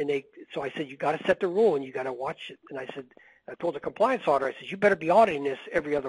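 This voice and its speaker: Recorded with a dry, close sound and no echo, a man talks at a very fast pace with ordinary pitch variation and big swings in loudness. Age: 60s. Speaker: medical billing consultant. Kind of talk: webinar Q&A. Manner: animated.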